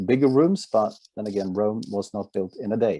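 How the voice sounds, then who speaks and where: Against a quiet background, a man speaks with a Norwegian accent. His pace is moderate. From Norway. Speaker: company executive presenting a product. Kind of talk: product presentation.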